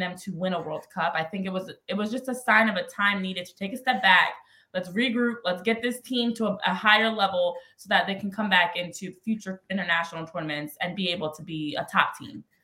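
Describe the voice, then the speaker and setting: A woman talks in a plain, everyday voice with an American accent, at medium pitch and a fairly quick pace. Her loudness swings widely, with ordinary pitch variation. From New Jersey / Philadelphia area. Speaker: former soccer player and sports analyst. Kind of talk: casual interview.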